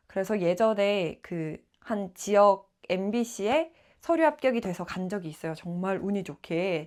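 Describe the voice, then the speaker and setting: This woman talks fairly slowly, her pitch in the medium range. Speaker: aspiring announcer and traffic caster. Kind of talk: vlog-style personal talk to camera.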